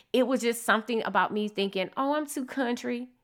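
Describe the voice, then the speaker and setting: A woman speaks in an animated, enthusiastic tone that is bright and sharp. Her pitch varies in an ordinary way, in a very clean recording with a silent background. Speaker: podcast host and business coach. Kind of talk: solo podcast monologue, promotional.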